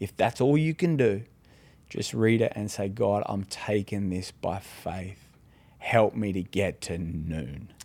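Speaking very slowly with an Australian accent, a man uses a fairly low pitch, a dark, mellow tone and lively intonation. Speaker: pastor. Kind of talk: casual chat. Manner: halting.

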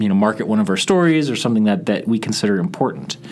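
Noticeable background noise sits behind a man with an American accent, who speaks at medium pitch with lively intonation. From Chicago suburbs, US Midwest. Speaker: radio reporter. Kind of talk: interview. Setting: studio. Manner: conversational.

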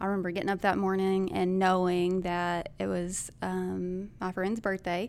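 A woman at medium pitch with a Southern US accent, moderate pace, monotone flat intonation and hardly any pauses, on a very clean recording with a silent background. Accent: Southern American. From US South, Arkansas. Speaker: school shooting survivor, church member. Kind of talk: testimony.

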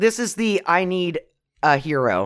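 A woman's animated voice with vocal fry and very wide pitch swings, on a very clean recording with a silent background. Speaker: podcast co-host. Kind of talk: casual comedic chat about a movie. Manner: profane, animated.

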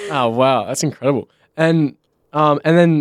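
Speaking at a moderate pace, a man with an Australian accent has a fairly high pitch. The recording is very clean with a silent background and a dry, close sound with no echo. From Western Australia, Bunbury. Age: 20s. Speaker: podcast host. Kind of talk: casual chat.

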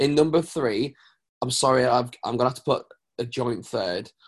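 A man speaks at a medium pitch with a British accent. His pace is moderate. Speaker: worship pastor. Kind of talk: casual chat. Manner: animated.

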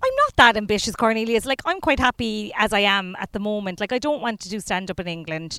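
A bright, sharp tone and lively intonation come with a Cork accent, at a very fast pace with hardly any pauses. The sound is dry and close, with no echo. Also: woman. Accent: Cork Irish. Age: 30s. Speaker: comedian. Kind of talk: casual chat.

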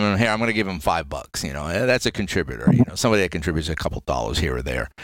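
In a very clean recording with a silent background, a man speaks with vocal fry and very wide pitch swings. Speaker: podcast host. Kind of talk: casual interview.

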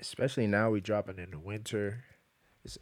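This man has a plain, everyday voice, fairly low in pitch, with fairly even intonation and an American accent. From New York, the Bronx. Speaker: singer-songwriter. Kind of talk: casual chat.

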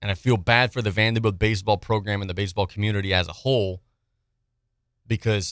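With an American accent, a man has a plain, everyday voice, a fairly low pitch and fairly even intonation at a fairly quick pace. The recording is very clean with a silent background and a dry, close sound with no echo. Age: 30s. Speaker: sports radio host. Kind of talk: sports talk radio.

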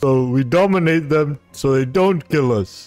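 Over faint music in the background, a man uses a put-on character voice at a fairly slow pace. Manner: earnest, formal, slow.

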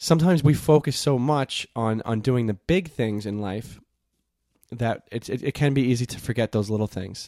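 In a very clean recording with a silent background and a dry, close sound with no echo, a man speaks in a dark, mellow tone with ordinary pitch variation. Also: medium pitch for a man, moderate pace. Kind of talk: casual chat. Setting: home recording in a warm room. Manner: halting, many filler words; podcast voice.

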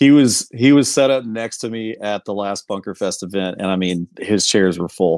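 A plain, everyday voice from a man with an American accent, fairly low in pitch with ordinary variation, the sound dry and close with no echo. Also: moderate pace. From Houston, Texas. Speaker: sportswear company owner. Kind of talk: casual interview. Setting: online call.

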